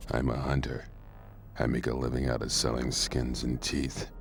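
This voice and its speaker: Put-on character voice from a man at a moderate pace, with clear background noise. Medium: video game. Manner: curt, dismissive.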